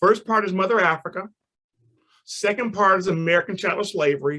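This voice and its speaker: A man speaks at a high pitch. His tone is bright and sharp. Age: 60s. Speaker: storyteller and museum founder. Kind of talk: presentation to online audience.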